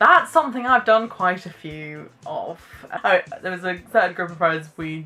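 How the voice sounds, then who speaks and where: Music plays in the background as a woman speaks with a British accent. Her pace is fairly slow, with ordinary pitch variation. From Britain. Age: 20s. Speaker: YouTuber. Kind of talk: casual vlog chat. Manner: hesitant, filler-heavy.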